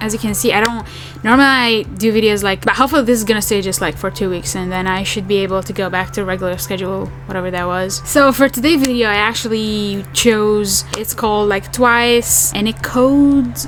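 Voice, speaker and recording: With music in the background, a woman at a medium pitch talks at a fairly quick pace with a non-native accent. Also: ordinary pitch variation, hardly any pauses. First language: not English. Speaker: K-pop reaction youtuber. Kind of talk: casual reaction video chat. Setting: home apartment.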